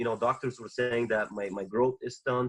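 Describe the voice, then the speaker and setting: With a Bulgarian accent, a man speaks at a medium pitch. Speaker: former Olympic wrestler. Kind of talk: podcast interview.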